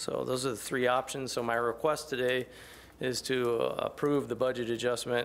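At a moderate pace, a man talks in monotone, flat intonation. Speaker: public works official. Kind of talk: public meeting presentation. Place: hall. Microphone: podium.

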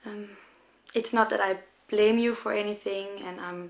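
With a Danish accent, a woman speaks at a fairly slow pace and medium pitch in monotone, flat intonation. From Denmark. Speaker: young mother. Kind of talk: personal appeal video. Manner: halting.

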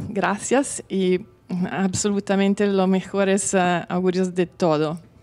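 Her speech is very slow, and this woman keeps her intonation fairly even. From Milan, Italy. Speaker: course participant. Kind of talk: testimonial interview; interview answer. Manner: halting. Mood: warm, smiling. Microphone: handheld.

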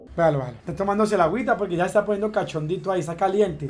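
A man shouts loudly in a theatrical, furious tone. His pitch varies in an ordinary way. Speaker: streamer. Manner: loud, indignant and furious, shouting with repeated insults and rhetorical questions; excitable, exaggerated, theatrical outbursts with hammered repetition. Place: home room. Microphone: headset.

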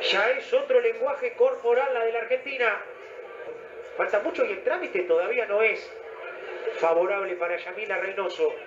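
Over music in the background, a man speaks at a moderate pace with long, frequent pauses. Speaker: boxing commentator. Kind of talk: live boxing commentary. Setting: ringside broadcast of a fight. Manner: animated, exclamatory.

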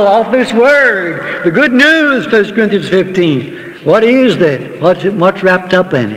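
His delivery moves fairly slowly. The pitch rises and falls in a lively way. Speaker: preacher. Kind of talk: sermon. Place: church. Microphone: old recording.

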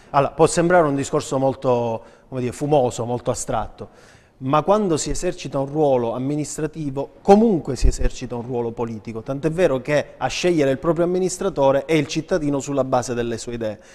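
This man's voice sits fairly high, with ordinary pitch variation, and he speaks at a fairly quick pace. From Sicily, Trapani; Sicily. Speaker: city councillor and politician; city councillor, politician. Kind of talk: political interview. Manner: formal. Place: studio. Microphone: lapel.

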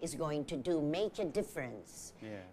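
Over light background noise, a woman with a very deep, low pitch speaks at a moderate pace with lively intonation. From Philippines. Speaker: theater artist and arts educator. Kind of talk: TV talk show interview. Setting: TV studio. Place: studio. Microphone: lapel.

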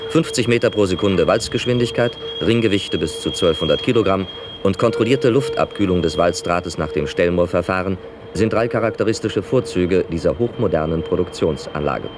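Over noticeable background noise, a man speaks at a fairly quick pace with very even loudness. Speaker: narrator. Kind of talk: industrial documentary narration.

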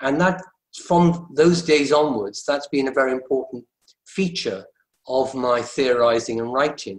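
A man speaks fairly slowly with ordinary pitch variation. The background is quiet, though room echo is audible. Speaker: professor. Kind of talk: panel discussion. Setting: video call. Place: home room. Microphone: video call.

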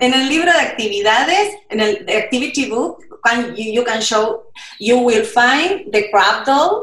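Audible room echo surrounds a woman speaking at a moderate pace with a high pitch and lively intonation. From Argentina. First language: Spanish. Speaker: children's book illustrator. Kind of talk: storytelling summary in Spanish for children; conversational explanation for children. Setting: video call. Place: home room. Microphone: video call.

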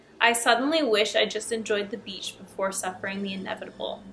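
Speaking at a fairly quick pace, a woman with a fairly high pitch uses ordinary pitch variation over light background noise. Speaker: YouTuber reading horror stories. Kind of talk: scripted horror story reading with casual commentary. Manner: casual, chatty. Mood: relaxed, playful. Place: home room.

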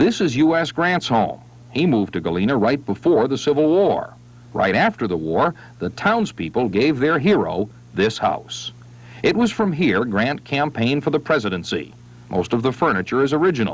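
A man talks at a moderate pace with very wide pitch swings. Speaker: TV news reporter narrator. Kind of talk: news feature narration.

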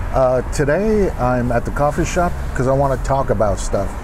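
A man talks at a moderate pace, his pitch rising and falling in an ordinary way, while noticeable background noise carries on behind him. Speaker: filmmaker channel host. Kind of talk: casual vlog chat. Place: cafe. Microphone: webcam.

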